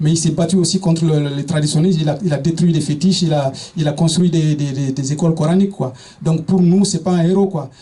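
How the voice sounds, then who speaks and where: Over noticeable background noise, a high-pitched man talks at a fairly quick pace with fairly even intonation. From eastern Senegal. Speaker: speaker on African history. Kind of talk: public talk. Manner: halting, many hesitations and repetitions.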